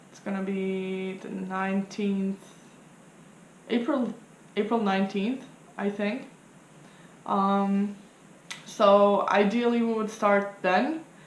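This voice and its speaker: In a room with audible echo, a woman speaks at a very slow pace with long, frequent pauses, fairly even intonation and big swings in loudness. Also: medium pitch for a woman. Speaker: tarot reader and vlogger. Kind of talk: casual vlog explaining a study challenge. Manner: hesitant, many fillers.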